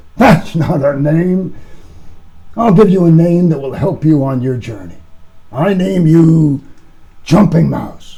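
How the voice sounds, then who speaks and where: Putting on a gravelly character voice, a man speaks at a fairly high pitch and fairly slow pace with long, frequent pauses. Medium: read story.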